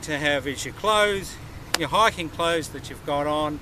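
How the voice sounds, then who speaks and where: A man's voice shows ordinary pitch variation amid noticeable background noise. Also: dry sound with no echo. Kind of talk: tutorial. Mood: enthusiastic, friendly. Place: open country.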